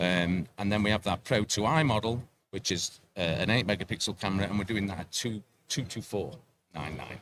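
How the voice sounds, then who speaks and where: With a slight English accent, a man talks at a fairly quick pace and a fairly low pitch. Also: ordinary pitch variation. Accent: English, slight per own words. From England, Sheffield. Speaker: product representative and gamekeeper. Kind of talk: product pitch interview. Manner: halting, repeats words.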